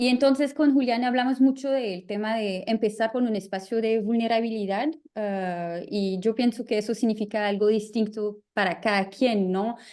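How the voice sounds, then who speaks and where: A woman with a French accent speaks at a moderate pace, her fairly high pitch carrying a dark, mellow tone and fairly even intonation. She leaves hardly any pauses, and the background is quiet. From France. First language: French (speaking Spanish). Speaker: artist and curator. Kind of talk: panel talk. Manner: halting, searching for words.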